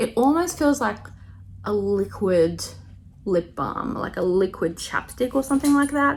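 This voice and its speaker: A woman speaks with an Australian accent. Her pace is fairly slow. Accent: Australian, noticeable to viewers. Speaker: makeup tutorial youtuber. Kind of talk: tutorial. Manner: casual, filler-heavy.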